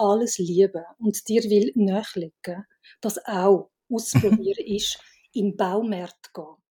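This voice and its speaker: At a fairly slow pace, a woman talks in a somewhat breathy voice, pitched fairly high, with ordinary pitch variation. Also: dry, close sound with no echo. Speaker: film director and writer. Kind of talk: casual chat.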